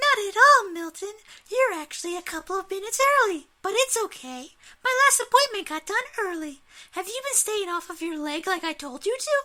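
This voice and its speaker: In a squeaky, put-on character voice, a woman speaks at a moderate pace and an extremely high pitch, with very wide pitch swings. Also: very clean recording, silent background. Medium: read story. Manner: warm but firm.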